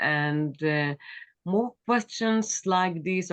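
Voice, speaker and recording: In an Israeli accent, a woman speaks at a fairly slow pace. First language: Hebrew. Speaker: author and former politician. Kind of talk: interview. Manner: halting, with many fillers.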